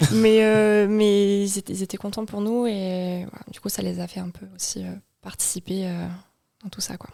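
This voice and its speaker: In a dark, mellow tone, a woman speaks at medium pitch with monotone, flat intonation and big swings in loudness. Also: moderate pace. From Marseille, southern France. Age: 20s. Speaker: psychomotor therapist, new mother. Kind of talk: podcast interview.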